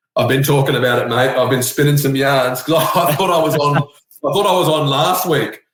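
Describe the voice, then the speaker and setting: Speaking with an Australian accent, a man goes at a fairly quick pace with hardly any pauses, very even loudness and a fairly high pitch. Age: 30s. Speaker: tiler. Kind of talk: casual chat. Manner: animated.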